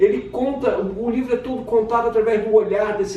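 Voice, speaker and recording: Noticeable background noise and audible room echo fill the clip. Over them, a man speaks at a fairly quick tempo. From Brazil, Rio de Janeiro. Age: 60s. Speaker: children's author and literature teacher. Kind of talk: casual self-presentation to camera.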